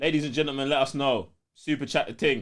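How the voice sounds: A man talks at a fast pace with ordinary pitch variation, recorded very cleanly against a silent background. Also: medium pitch for a man.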